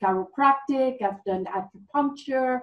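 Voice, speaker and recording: Somewhat breathy and with ordinary pitch variation, the voice comes in a Swiss French accent at a fairly slow pace. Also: woman. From French-speaking Switzerland. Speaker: former dancer, fitness coach. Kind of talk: interview.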